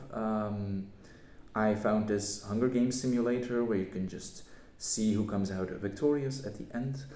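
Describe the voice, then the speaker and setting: A man's fairly low voice with a non-native accent, fairly even intonation, a moderate pace and audible room echo. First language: not English. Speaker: YouTuber. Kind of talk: casual channel update vlog. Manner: hesitant, many fillers.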